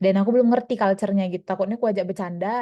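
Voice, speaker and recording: This woman's medium-pitched voice has a dark, mellow tone and fairly even intonation. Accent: Medan. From Medan, North Sumatra, Indonesia. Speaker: medical resident doctor, small-group member. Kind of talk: casual sharing in small group. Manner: casual, halting with fillers.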